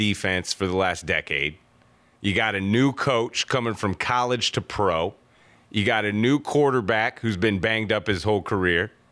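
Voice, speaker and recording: With an American accent, a man speaks at a moderate pace in a fairly low voice, his tone bright and sharp, loudness very even, pitch varying normally, on a very clean recording with a silent background. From North Carolina. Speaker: sports radio co-host. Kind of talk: sports talk radio.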